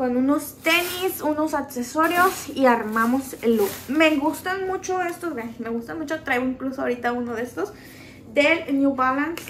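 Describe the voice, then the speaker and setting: The speech moves at a moderate pace with ordinary pitch variation over light background noise. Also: woman. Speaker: haul vlogger. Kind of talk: casual vlog chat. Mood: cheerful, chatty. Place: home room. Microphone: phone near.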